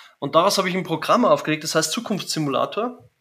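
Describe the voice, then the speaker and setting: With a Bavarian accent, the speaker uses lively intonation on a very clean recording with a silent background. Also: man. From Bavaria, Germany. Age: 40s. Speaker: business coach. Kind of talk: interview.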